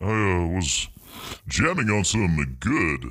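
Speaking very slowly, a man with a fairly low pitch has a bright, sharp tone and vocal fry. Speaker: studio guest on radio show. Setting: studio.

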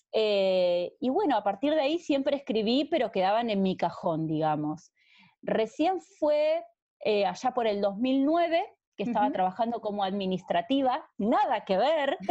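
A woman with a Rioplatense accent speaks at a fairly slow pace in a fairly high pitch, her dark, mellow tone holding very even loudness while her pitch swings very widely over a quiet background. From Argentina. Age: 30s. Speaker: romance novelist. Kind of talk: interview conversation.

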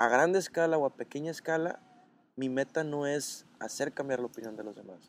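A man speaks in a normal speaking voice at medium pitch, with ordinary pitch variation and a moderate pace. The sound is dry and close with no echo. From Mexico, Sinaloa (Los Mochis). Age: 20s. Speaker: content creator. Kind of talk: casual chat. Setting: café in Mérida.

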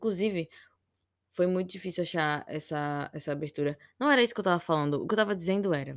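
A woman speaks with ordinary pitch variation in a dry, close sound with no echo. The recording is very clean with a silent background. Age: 20s. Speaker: podcaster. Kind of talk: casual monologue. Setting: home at night. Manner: rambling, hesitant.

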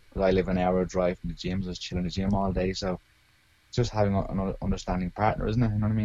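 With an Irish accent, a man with a very deep, low voice talks at a very fast pace with fairly even intonation. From Ireland, Arklow (County Wicklow). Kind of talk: interview.

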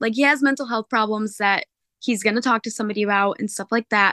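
With a bright, sharp tone and a fairly high pitch, a woman talks in fairly even intonation over a quiet background, the sound dry and close with no echo. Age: 20s. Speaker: caller. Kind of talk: personal story.

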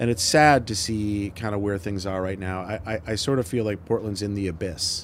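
Hardly pausing, a man with an American accent and a plain, everyday voice speaks at a moderate pace and fairly low pitch with ordinary pitch variation. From Michigan, US Midwest. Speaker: entrepreneur and business advisor. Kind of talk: casual interview.

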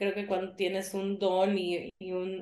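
This woman has a medium pitch. Her pace is very slow. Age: 40s. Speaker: yoga teacher. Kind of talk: interview.

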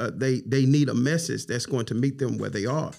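With an Alabama accent and some vocal fry, a man speaks at medium pitch. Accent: Southern US, Alabama. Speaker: pastor and bishop. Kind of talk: casual chat.

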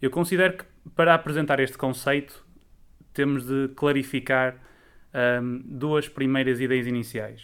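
With long, frequent pauses, a man of medium pitch speaks at a fairly slow pace and with fairly even intonation. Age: 20s. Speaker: student association president. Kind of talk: interview. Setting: online audio interview.

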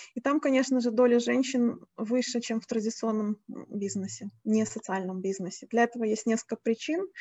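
A somewhat breathy woman at a fairly high pitch, with ordinary pitch variation and a moderate pace. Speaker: moderator, social entrepreneurship expert. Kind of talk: panel moderation. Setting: video call.

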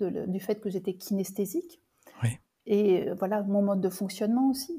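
A woman's somewhat breathy voice with a dark, mellow tone, medium pitch and lively intonation, fairly slow in pace, on a very clean recording with a silent background. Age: 60s. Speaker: medium and intuitive coach. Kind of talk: interview, personal testimony. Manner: halting, with many repetitions and fillers.

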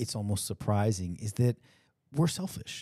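A man speaks at a moderate pace in a fairly low, dark, mellow voice that is somewhat breathy. His intonation is lively, and the sound is dry and close with no echo. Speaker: podcast host. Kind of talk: casual chat. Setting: video call.

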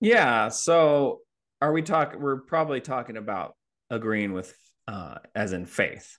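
Against a quiet background, a man with a normal speaking voice talks at a fairly slow pace, his medium pitch carried by lively intonation. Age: 40s. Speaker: contractor and comedian. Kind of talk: casual chat.

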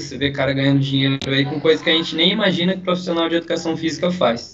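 A man's speech shows ordinary pitch variation, noticeable noise running underneath. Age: 20s. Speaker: physical education student. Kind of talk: casual chat.

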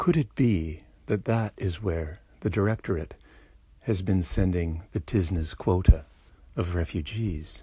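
A man's very deep, low pitch with a dark, mellow tone, somewhat breathy, at a fairly slow pace against a quiet background. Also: ordinary pitch variation. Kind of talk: formal mock-serious commentary. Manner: formal, polished, precise.

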